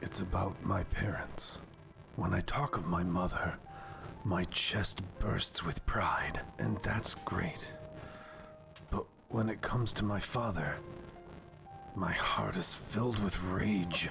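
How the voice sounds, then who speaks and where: Using a put-on character voice, a man speaks at a fairly slow pace with long, frequent pauses. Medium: dub.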